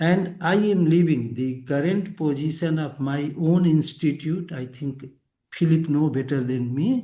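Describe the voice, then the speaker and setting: A man speaks at a fairly slow pace in a fairly high pitch with a dark, mellow tone. His pitch varies in an ordinary way, and audible room echo surrounds him. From India. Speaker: physics professor. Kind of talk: lecture. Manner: halting.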